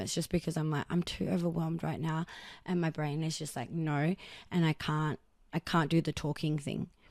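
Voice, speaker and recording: In an Australian accent, a woman with a very deep, low pitch and a dark, mellow tone talks very fast on a very clean recording with a silent background. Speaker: podcast host. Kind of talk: personal monologue. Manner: casual and rambling with fillers.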